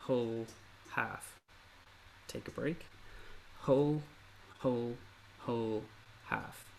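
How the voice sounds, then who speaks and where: Speaking with an Irish accent, a man keeps a medium pitch and a fairly slow pace. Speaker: ukulele teacher. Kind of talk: online workshop lesson.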